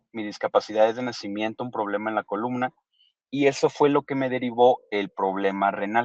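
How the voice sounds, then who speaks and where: Here a man with a Mexican accent speaks at medium pitch and a moderate pace, with ordinary pitch variation. The sound is dry and close with no echo. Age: 30s. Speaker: kidney transplant recipient. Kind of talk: interview testimony.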